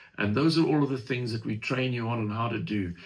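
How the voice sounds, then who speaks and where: A somewhat breathy man's voice at medium pitch, with ordinary pitch variation and a fairly quick pace. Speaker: franchise company presenter. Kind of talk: webinar presentation with Q&A.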